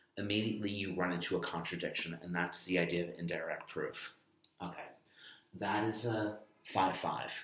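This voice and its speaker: A man's fairly low voice at a moderate pace, with fairly even intonation and audible room echo. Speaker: math teacher. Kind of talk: lecture. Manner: soft-spoken.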